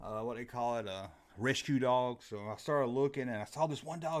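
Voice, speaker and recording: With a Southern US accent, a man talks at medium pitch with ordinary pitch variation. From US South. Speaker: call-in show host. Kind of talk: live call-in show chat. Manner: casual, folksy.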